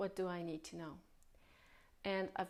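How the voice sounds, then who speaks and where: Her voice medium in pitch, a woman speaks with fairly even intonation. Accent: non-native. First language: not English. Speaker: spiritual healer. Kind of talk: spiritual talk.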